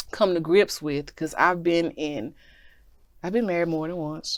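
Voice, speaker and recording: In a plain, everyday voice, a woman speaks at a fairly low pitch with ordinary pitch variation on a very clean recording against a silent background. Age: 40s. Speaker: talk show host. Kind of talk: casual chat.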